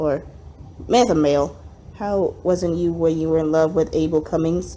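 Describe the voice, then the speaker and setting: A woman's dark, mellow voice with vocal fry, at a moderate pace. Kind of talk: dramatic reading of an old story.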